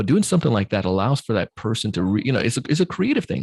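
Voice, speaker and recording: Fairly low in pitch yet swinging very widely, a man's somewhat breathy voice comes very fast in a dry, close sound with no echo. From Jamaica. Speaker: sales trainer and podcast host. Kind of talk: podcast interview. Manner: hesitant, many fillers.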